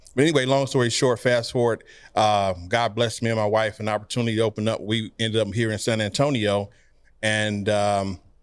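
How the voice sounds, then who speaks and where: With an American accent and a normal speaking voice, a man talks at a fairly quick pace in a fairly low pitch with fairly even intonation, on a very clean recording with a silent background. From Detroit, Michigan. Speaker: entrepreneur. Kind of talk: podcast interview.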